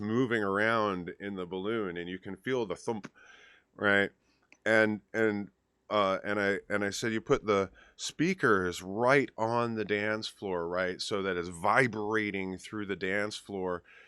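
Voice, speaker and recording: This man speaks at a fairly slow pace with a fairly low pitch and fairly even intonation. His tone is bright and sharp, and the sound is dry and close with no echo. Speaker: DJ and chat show host. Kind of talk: casual chat. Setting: live stream with remote co-host over Skype.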